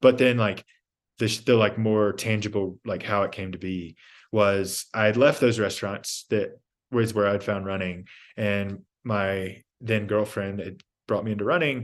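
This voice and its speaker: This man has an ordinary speaking voice with a fairly low pitch and an American accent. He talks at a fairly slow pace with fairly even intonation against a quiet background. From US South, Georgia. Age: 30s. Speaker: endurance athlete. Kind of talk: casual chat.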